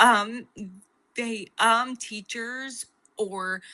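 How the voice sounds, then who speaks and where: A woman with a bright, sharp tone. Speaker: podcast guest. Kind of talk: interview answer. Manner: stutters.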